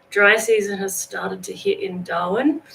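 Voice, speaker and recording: A woman is speaking. Noticeable background noise comes through. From Australia. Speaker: motorcycle vlogger. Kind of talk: livestream chat with viewers. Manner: casual, relaxed.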